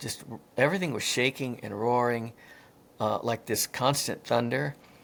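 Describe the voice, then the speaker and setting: The speaker has a medium pitch. He is a man. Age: 60s. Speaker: near-death experiencer, firefighter. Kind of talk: interview. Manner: hesitant, many fillers.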